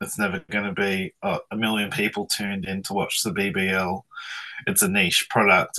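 A man with an Australian accent, fairly low in pitch, at a moderate pace with fairly even intonation, in a dry, close sound with no echo. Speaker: media industry publisher. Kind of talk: radio interview. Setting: video call.

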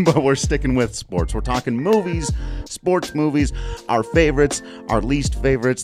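A man speaks with music in the background. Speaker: podcast host. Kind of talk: casual conversational. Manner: soothing.

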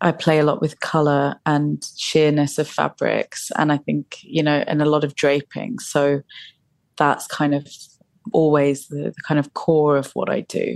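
A woman speaks with a British accent at a fairly slow pace, her pitch very deep and low. Her intonation is monotone and flat, and the sound is dry and close with no echo. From England. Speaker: fashion designer. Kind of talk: interview.

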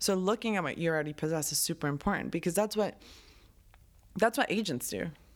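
A woman with a Spanish accent and fairly low pitch talks at a very fast pace, broken by long, frequent pauses. Her intonation is lively, and the recording is very clean with a silent background. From Colombia. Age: 20s. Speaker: writer and producer. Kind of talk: casual interview.

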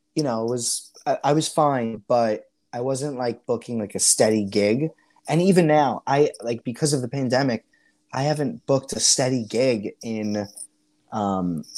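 Man with a strong New York accent, a dark, mellow tone at medium pitch, ordinary pitch variation, and a moderate pace, in a very clean recording with a silent background. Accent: Staten Island accent, stronger than ever. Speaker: Broadway performer and teacher. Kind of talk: interview. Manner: halting, filler-heavy.

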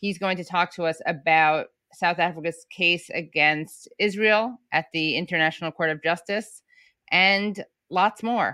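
Over a quiet background, a woman talks at a fairly slow pace with fairly even intonation. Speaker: podcast co-host. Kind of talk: casual chat.

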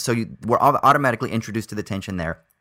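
On a very clean recording with a silent background, a man with an American accent speaks very fast at a fairly low pitch in a bright, sharp tone. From United States. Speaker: film podcast co-host. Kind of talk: casual chat.

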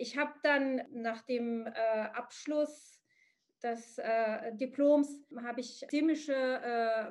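A woman with an Arabic accent talks in a high voice with fairly even intonation. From Morocco. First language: Arabic (speaking German). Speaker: psychotherapist. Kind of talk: interview. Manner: halting, many fillers.

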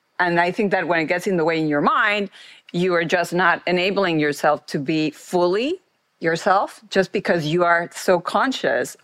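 A woman speaks with a Mexican accent. Her pace is fairly quick. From Mexico. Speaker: former marketing executive and board director. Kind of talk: interview conversation.

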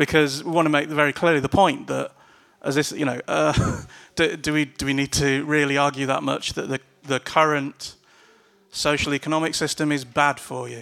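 Using a bright, sharp tone, a man talks at a moderate pace in a fairly high pitch with monotone, flat intonation. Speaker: activist panelist. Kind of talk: panel talk. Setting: live event with audience. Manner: blunt, angry.

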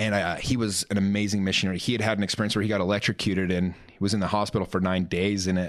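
In a Utah accent, a man talks very fast at a fairly low pitch. His intonation is monotone and flat, while his loudness swings widely. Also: hardly any pauses. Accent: Utah American English. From Utah, Salt Lake area. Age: 30s. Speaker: real estate entrepreneur and life coach. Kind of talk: podcast interview, personal story.

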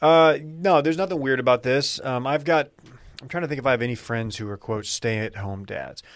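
With an American accent, this is an unremarkable speaking voice at a fairly quick pace with ordinary pitch variation. Its loudness swings a lot. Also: man, medium pitch for a man. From North Texas. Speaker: podcast host and media co-founder. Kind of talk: casual chat.

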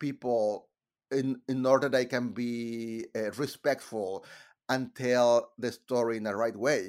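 Fairly slow speech in a Mexican accent on a very clean recording with a silent background. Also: man. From Monterrey, Mexico. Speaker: composer. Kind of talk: casual interview. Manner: halting, hesitant.

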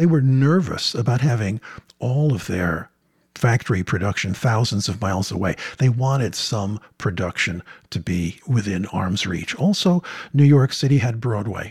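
On a very clean recording with a silent background, a man talks at a moderate pace in a somewhat breathy voice. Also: medium pitch for a man. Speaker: film professor. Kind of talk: interview.

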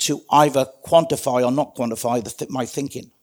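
The recording is very clean with a silent background. A man speaks with a British accent at a moderate pace. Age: 60s. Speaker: retired police trainer and community safety advisor. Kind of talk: casual interview.

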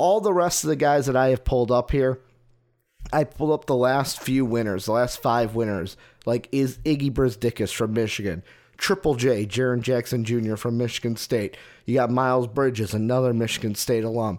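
In a very clean recording with a silent background, a man talks in an ordinary speaking voice at medium pitch and a moderate pace, with ordinary pitch variation and very even loudness. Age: 20s. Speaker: sports podcast host. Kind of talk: solo sports podcast monologue.

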